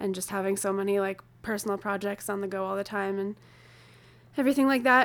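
This is an unremarkable speaking voice with fairly even intonation. The pace is fairly quick. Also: woman. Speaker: podcast host. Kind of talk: casual chat. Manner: casual, chatty.

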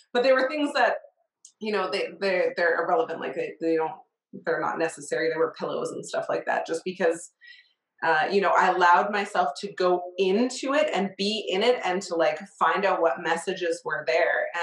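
A woman with a plain, everyday voice speaks at medium pitch and a moderate pace, her intonation lively. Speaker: podcast host. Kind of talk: casual interview chat.

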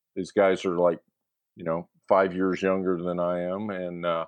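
A man talks with an American accent. His pitch is very deep and low, and his pace is moderate. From California. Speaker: high school baseball coach. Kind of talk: casual interview chat.

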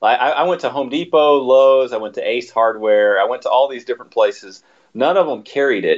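With an American accent, a man talks at a fairly quick pace in an unremarkable speaking voice with ordinary pitch variation. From Texas. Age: 30s. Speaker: podcast guest, fan of the show. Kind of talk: casual chat.

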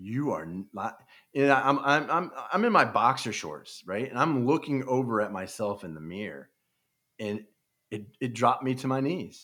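On a very clean recording with a silent background, a man with an American accent speaks at a moderate pace and medium pitch. His bright, sharp tone carries lively intonation, vocal fry and big swings in loudness. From Kansas City area, US Midwest. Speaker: retired sports radio producer and author. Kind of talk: podcast interview. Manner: halting.

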